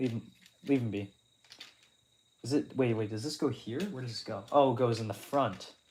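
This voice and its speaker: Somewhat breathy, a man speaks at medium pitch and a moderate pace, with ordinary pitch variation and long, frequent pauses. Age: young. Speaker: streamer. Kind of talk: casual chat. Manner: stammering, repeats words.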